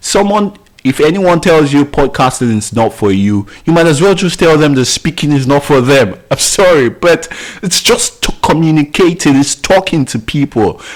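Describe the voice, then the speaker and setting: A man with an ordinary speaking voice talks at a moderate pace and a fairly high pitch. His intonation is lively and his loudness very even. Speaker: podcasting course instructor. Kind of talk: tutorial. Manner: filler words, self-corrections.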